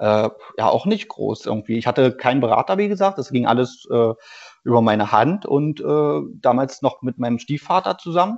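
A man with an unremarkable speaking voice, medium pitch, moderate pace and lively intonation. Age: 30s. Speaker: former pro footballer, amateur player. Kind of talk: interview.

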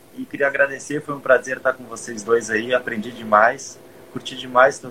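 Amid noticeable background noise, a man of medium pitch talks at a moderate pace in a monotone, flat intonation. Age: 20s. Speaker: podcast host and personal trainer. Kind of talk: casual chat. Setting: live stream on Instagram.

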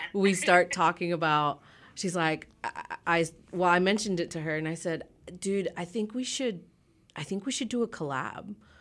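A normal speaking voice from a woman, fairly low in pitch, moderate in pace, with ordinary pitch variation, on a very clean recording with a silent background. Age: 30s. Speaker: DJ. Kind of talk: casual interview. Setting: studio.

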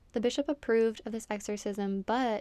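On a very clean recording with a silent background, a woman with a plain, everyday voice speaks at a moderate pace in a fairly high pitch with fairly even intonation. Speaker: podcast host. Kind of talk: true-crime narration, scripted-sounding, read steadily in a serious storytelling tone. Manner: measured, solemn, even-paced, somewhat monotone and matter-of-fact.

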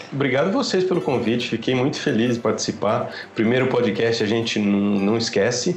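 Over noticeable background noise and audible room echo, a man speaks at a moderate pace and medium pitch, with ordinary pitch variation and very even loudness. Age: 40s. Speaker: guitarist. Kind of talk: casual chat.

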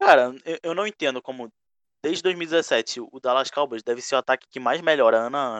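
A man with an unremarkable speaking voice and a medium pitch talks fairly quickly, using ordinary pitch variation. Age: 20s. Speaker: podcast host and NFL fan. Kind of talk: casual chat. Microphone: mic badly placed early on.

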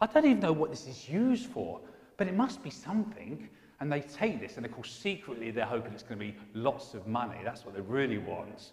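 Amid audible room echo, a man with an English accent talks at a fairly quick pace and a fairly high pitch, with very wide pitch swings and big swings in loudness. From England. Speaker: pastor. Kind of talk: sermon.

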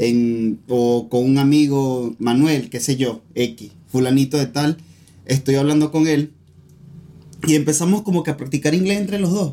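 Fairly high in pitch, a man talks at a fairly slow pace with a dark, mellow tone and ordinary pitch variation. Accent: Venezuelan. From Venezuela. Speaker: podcast co-host. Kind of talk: casual chat.

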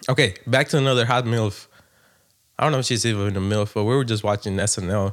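A man with an American accent, medium pitch, fairly even intonation, very even loudness and a fairly quick pace. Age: 30s. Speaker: podcast co-host. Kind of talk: casual chat.

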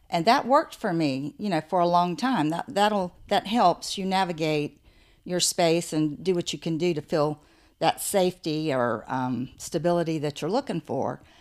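With an American accent and a fairly low pitch, a woman has an unremarkable speaking voice, lively intonation and a moderate pace on a very clean recording with a silent background. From US South. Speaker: author and artist. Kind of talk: casual interview. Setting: in person on location.

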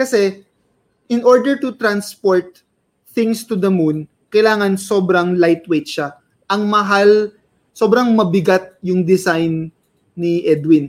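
A man with a high pitch speaks at a fairly slow pace. He leaves long, frequent pauses and varies his pitch in an ordinary way. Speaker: podcast co-host. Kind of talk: casual chat. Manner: code-switching English and Tagalog.

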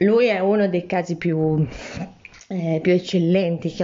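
A woman's fairly low voice with ordinary pitch variation, over noticeable background noise. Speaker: podcast host, former advertising professional. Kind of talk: casual spoken diary. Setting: at home during lockdown. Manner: hesitant, with fillers.

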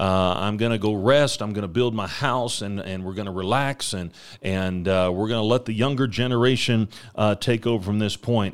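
This man has an unremarkable speaking voice, fairly low in pitch, with an American accent. He talks at a moderate pace with ordinary pitch variation in a very clean recording with a silent background. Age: 40s. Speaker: missionary preacher. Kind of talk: ministry update; devotional podcast sermon. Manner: frequent fillers and repetitions.

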